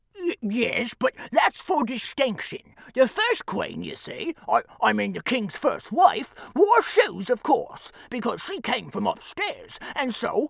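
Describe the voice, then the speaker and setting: A put-on character voice at a high pitch delivers the lines at a fairly slow pace. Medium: read story. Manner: self-important, knowing.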